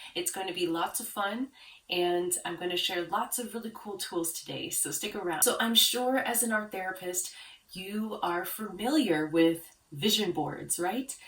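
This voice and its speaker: Speaking at a moderate pace with a calm tone and lively intonation, a woman with a medium pitch is heard over noticeable background noise. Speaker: branding consultant for art therapists. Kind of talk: tutorial.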